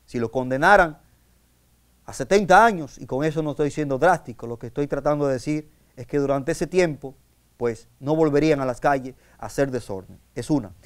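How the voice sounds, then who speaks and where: The speaker talks at a moderate pace. Pitch rises and falls in an ordinary way. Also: man, fairly high pitch for a man, big swings in loudness, quiet background. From Dominican Republic. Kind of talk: sermon. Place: studio.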